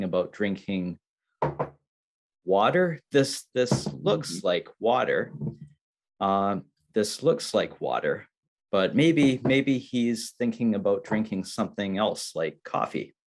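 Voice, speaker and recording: A very slow male voice against a quiet background. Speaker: english teacher. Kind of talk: slow teaching talk. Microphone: video call.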